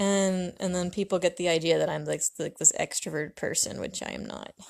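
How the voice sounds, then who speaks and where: Soft-spoken, a woman with an American accent talks at a fairly quick pace with big swings in loudness, in a dry, close sound with no echo. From US Pacific Northwest, Washington State. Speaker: artist livestreamer. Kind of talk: casual livestream chat while painting. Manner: hesitant, many fillers.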